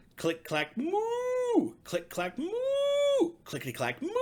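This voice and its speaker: A man puts on a character voice with an extremely high pitch. He speaks at a very slow pace. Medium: read story. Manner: polite, sing-song.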